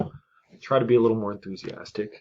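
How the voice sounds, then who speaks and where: A man's fairly low voice at a moderate pace, with fairly even intonation. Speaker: chess streamer. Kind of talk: live game commentary. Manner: monotone.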